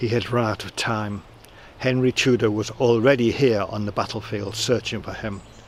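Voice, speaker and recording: A man with an unremarkable speaking voice talks at a fairly slow pace. His pitch is medium and his intonation fairly even. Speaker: storyteller, audiobook reader. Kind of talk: audiobook reading of a historical novel, storytelling.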